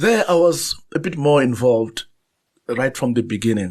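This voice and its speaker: A man's medium-pitched voice with a Zulu accent, against a quiet background. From South Africa, Zulu-speaking. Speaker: novelist and journalist. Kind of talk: interview conversation. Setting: studio. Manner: halting, frequent repetitions and fillers.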